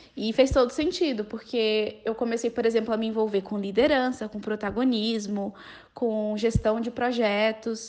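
This woman uses an ordinary speaking voice, set at a fairly high pitch and delivered at a moderate pace. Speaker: law student. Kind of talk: podcast interview.

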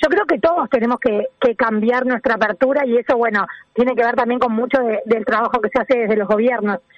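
A woman's unremarkable speaking voice, fairly high in pitch, at a fairly quick pace with very even loudness and ordinary pitch variation. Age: 40s. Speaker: sustainability agency director. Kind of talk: interview.

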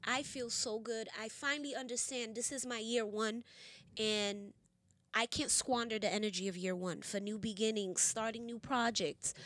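Her voice is an unremarkable speaking voice, fairly high in pitch for a woman, with fairly even intonation and a moderate pace. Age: 30s. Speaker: podcast host. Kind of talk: casual chat.

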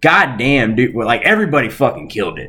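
A man speaks with vocal fry and a bright, sharp tone. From Arkansas. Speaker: podcast co-host. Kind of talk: casual chat.

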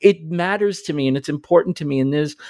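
On a very clean recording with a silent background, a man uses an ordinary speaking voice at a fairly high pitch with lively intonation. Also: dry, close sound with no echo. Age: 40s. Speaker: podcast host. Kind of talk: casual chat.

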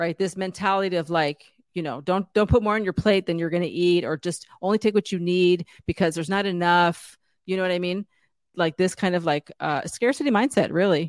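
A woman with an ordinary speaking voice, fairly low in pitch, with ordinary pitch variation and a fairly quick pace, in a dry, close sound with no echo on a very clean recording with a silent background. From San Diego, California (Chicana). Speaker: beauty brand founder. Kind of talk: interview.

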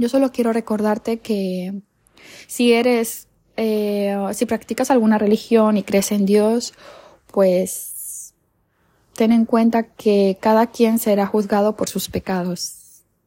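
A woman's fairly high, dark, mellow voice comes through flat and monotone at a very slow pace, with a dry, close sound and no echo. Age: 20s. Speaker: podcaster. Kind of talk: personal storytelling monologue.

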